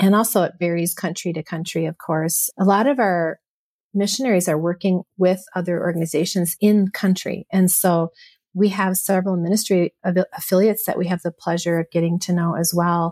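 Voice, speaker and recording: A woman speaks at a fairly quick pace in a Minnesota accent, her pitch medium and her intonation fairly even. The recording is very clean with a silent background, and the sound is dry and close with no echo. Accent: North Central US, Minnesota. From US Midwest, Michigan.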